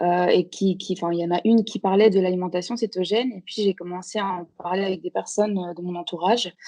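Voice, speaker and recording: A woman talks at a very fast pace with hardly any pauses, in a medium pitch and a dark, mellow tone. Her intonation is monotone and flat, and the sound is dry and close with no echo. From Belgium / Portuguese background. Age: 30s. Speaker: guest, Instagram food account creator. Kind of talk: podcast interview. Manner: hesitant, many fillers.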